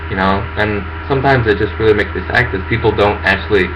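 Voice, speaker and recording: Fairly low in pitch, a man with an American accent talks at a fairly quick pace with ordinary pitch variation. Audible room echo and noticeable background noise accompany the recording. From US and Indonesia. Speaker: vlogger. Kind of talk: personal monologue. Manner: halting, many fillers.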